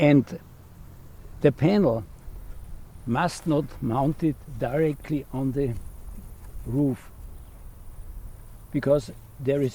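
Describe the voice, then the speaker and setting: At a very slow pace, a man talks with a fairly high pitch. His tone is dark and mellow. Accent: Austrian. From Austria. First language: German. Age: 80s+. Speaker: retired electrical engineer and solar trainer. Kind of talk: tutorial.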